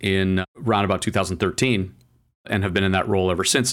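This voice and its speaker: A man with a fairly low pitch at a very fast pace. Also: very clean recording, silent background. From Canada. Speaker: automotive trade publisher and journalist. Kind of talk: interview.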